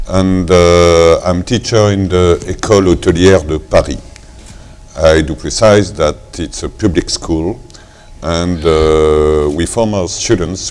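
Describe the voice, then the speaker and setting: A man in a French accent, very deep and low in pitch, at a very slow pace with ordinary pitch variation, over noticeable background noise. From France. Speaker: hospitality teacher. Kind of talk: panel discussion.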